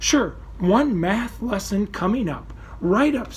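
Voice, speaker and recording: A man's put-on character voice, high in pitch, at a fairly slow pace over clear background noise. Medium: read story. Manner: showy, theatrical.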